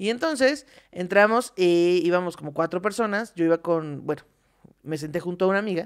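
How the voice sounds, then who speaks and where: Against a quiet background, a woman with a fairly low voice speaks fairly quickly with ordinary pitch variation. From Mexico. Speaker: comedy podcast co-host; podcast co-host. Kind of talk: casual comedic chat. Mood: amused, comedic anecdote. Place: studio. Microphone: studio mic.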